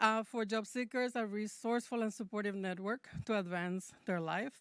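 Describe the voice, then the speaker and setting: Recorded very cleanly against a silent background, a woman with a Spanish accent speaks in a dry, close sound with no echo. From Mexico. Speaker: public library representative. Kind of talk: public address.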